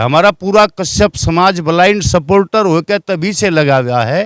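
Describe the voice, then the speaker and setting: A man talks at a high pitch. The sound is dry and close, with no echo. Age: 60s. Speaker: community member, political supporter. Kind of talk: interview. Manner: halting.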